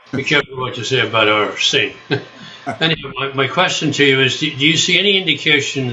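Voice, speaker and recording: With an Irish accent, a man speaks with ordinary pitch variation against noticeable background noise. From Ireland. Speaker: audience member. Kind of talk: audience question. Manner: halting.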